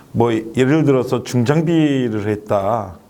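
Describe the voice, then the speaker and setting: Here is a man with a normal speaking voice. His pitch is medium, with ordinary variation. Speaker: resettlement center director. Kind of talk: talk show guest discussion.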